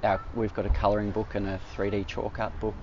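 A medium-pitched man with an Australian accent. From Melbourne, Australia (eastern suburbs). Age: 40s. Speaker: artist. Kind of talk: casual interview. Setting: outdoors in a park.

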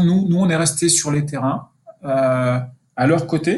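Speaking very slowly, a man with a fairly high pitch sounds somewhat breathy and keeps his intonation fairly even. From Burgundy, France (Dijon area). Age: 50s. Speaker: sports sponsorship manager. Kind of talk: interview. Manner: hesitant, many repetitions.

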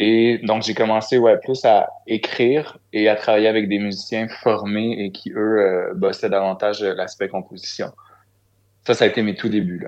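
Speaking at a fairly slow pace in a Quebec accent, a man uses ordinary pitch variation against a quiet background. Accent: Québécois French. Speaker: singer-songwriter. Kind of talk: interview.

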